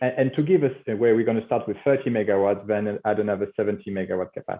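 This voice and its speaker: Very fast, lively speech from a man with a French accent. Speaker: company CEO. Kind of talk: business interview. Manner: halting, many fillers.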